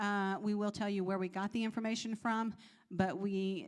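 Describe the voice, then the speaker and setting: A woman talks at a fairly quick pace in a very clean recording with a silent background. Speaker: pharmacist. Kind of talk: health Q&A presentation. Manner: fast.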